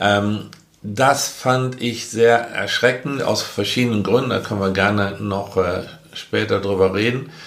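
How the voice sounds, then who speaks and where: Recorded with audible room echo and noticeable background noise, a man speaks at a fairly low pitch. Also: fairly even intonation, fairly slow pace. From Germany, rural area. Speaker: podcast co-host, father. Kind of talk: casual chat. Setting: same room, recorded together.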